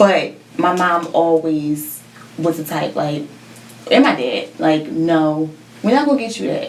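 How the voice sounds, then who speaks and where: A woman with an American accent, fairly low in pitch and lively in intonation, fairly slow with long, frequent pauses, amid noticeable background noise and audible room echo. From West Philadelphia, US; New Jersey from age 13. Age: 20s. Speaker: fashion entrepreneur, shoe designer. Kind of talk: podcast interview.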